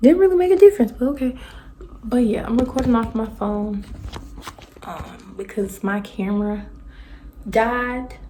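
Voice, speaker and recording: A woman talks at a moderate pace with lively intonation and long, frequent pauses over noticeable background noise. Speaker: tarot card reader. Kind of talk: tarot reading monologue. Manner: casual, conversational; loud.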